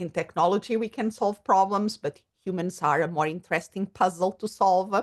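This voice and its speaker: Speaking in a Portuguese accent, a woman at medium pitch keeps a fairly quick pace with ordinary pitch variation, the sound dry and close with no echo. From Portugal. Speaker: psychologist and coach. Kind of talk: podcast interview.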